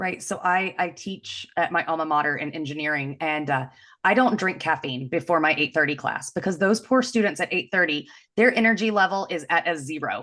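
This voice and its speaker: Against a quiet background, a woman speaks loudly and fairly quickly at a fairly low pitch, her tone bright, sharp and animated and her intonation lively. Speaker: engineering leadership coach. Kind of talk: podcast interview.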